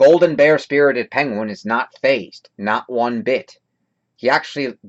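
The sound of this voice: Quiet surrounds the speaker. The delivery is an unforced reading voice, with lively intonation.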